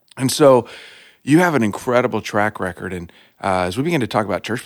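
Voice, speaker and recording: Speaking with an American accent, a man sounds warm and enthusiastic at a medium pitch. He goes at a very fast pace with lively intonation. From Texas. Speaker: lead pastor, podcast host. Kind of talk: casual interview. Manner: warm, enthusiastic.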